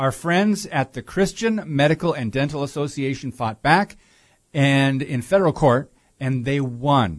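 A man with an ordinary speaking voice, fairly high in pitch, at a fairly slow pace against a quiet background. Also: lively intonation. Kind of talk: talk radio discussion. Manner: many filler words.

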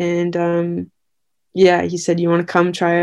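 A woman with a Canadian accent speaks at a moderate pace in a dark, mellow tone and a fairly low pitch, with a quiet background. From Victoria, British Columbia, Canada. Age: 20s. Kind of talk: interview. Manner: halting, many fillers.

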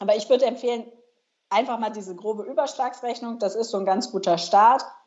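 A woman speaks at a fairly high pitch and a moderate pace, with ordinary pitch variation. She leaves long, frequent pauses. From northern Germany. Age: 30s. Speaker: personal finance blogger. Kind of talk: interview.

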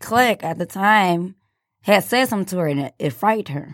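A woman with an American accent, a normal speaking voice, talks at a medium pitch and moderate pace with ordinary pitch variation, recorded very cleanly against a silent background. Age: 20s. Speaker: former student. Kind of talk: casual interview.

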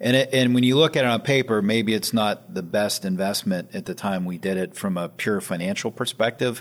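A man with an American accent speaks in a normal speaking voice, fairly low in pitch, with ordinary pitch variation and hardly any pauses. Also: fairly quick pace. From Western Pennsylvania (Sharon). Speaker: private equity founder. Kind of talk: interview. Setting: office.

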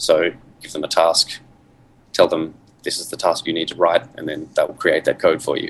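Here a man speaks with an Australian accent. His pace is fairly quick. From Western Australia. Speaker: software company CEO. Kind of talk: podcast interview. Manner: hesitant, many fillers.

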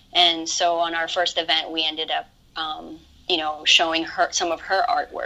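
Clearly audible background noise runs under a woman talking at a medium pace. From Hawaii. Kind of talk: casual interview chat.

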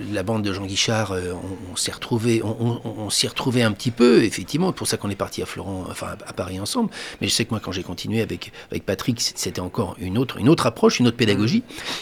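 A man with a normal speaking voice, fairly low pitch, ordinary pitch variation and a fairly quick pace. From France, Angers area. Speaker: stage actor. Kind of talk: radio interview. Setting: radio studio.

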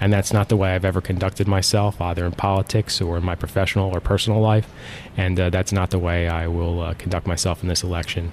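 A man's very deep, low voice, flat and monotone, at a very fast pace. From South Jersey (Mays Landing, near Atlantic City). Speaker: state senator. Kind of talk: interview. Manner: halting, many fillers.

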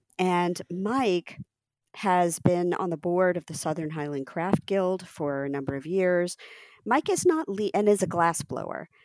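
A woman talks in an ordinary speaking voice with an American accent. Her pitch is fairly low, with ordinary variation. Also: fairly slow pace. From US (Ohio, New Jersey, Texas). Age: 50s. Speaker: craft program director and curator. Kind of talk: interview conversation.

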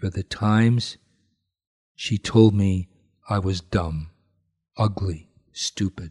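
At a very slow pace, a man with a fairly low, somewhat breathy voice talks with long, frequent pauses. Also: dry, close sound with no echo, quiet background. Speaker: priest leading prayers. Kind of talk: guided prayer and devotional reading.

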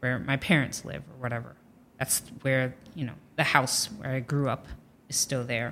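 Speaking at a moderate pace with an American accent, a woman with a very deep, low voice shows ordinary pitch variation and big swings in loudness. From Ohio, US Midwest. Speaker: comedian. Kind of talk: casual chat.

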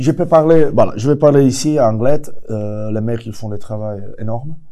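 A man speaks at a very slow pace in a medium pitch. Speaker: ice hockey coach. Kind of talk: interview. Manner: halting.

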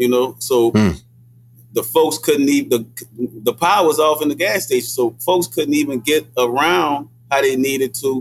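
Speaking with a New Orleans accent at a moderate pace, a man has a fairly high pitch, ordinary pitch variation and very even loudness. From New Orleans, Desire Project. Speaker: hip hop artist and activist. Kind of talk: casual chat. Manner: halting, many fillers.

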